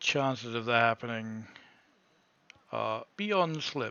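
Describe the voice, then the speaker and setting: With an English accent, a man speaks at a medium pitch. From England. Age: 30s. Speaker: gaming streamer. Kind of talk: live gameplay stream chat. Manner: hesitant, many fillers. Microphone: internet cutting out.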